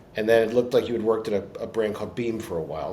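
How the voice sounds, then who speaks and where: A man talks in a medium pitch. Noticeable background noise runs behind him. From Baltimore, US. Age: 60s. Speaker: podcast host. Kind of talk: interview.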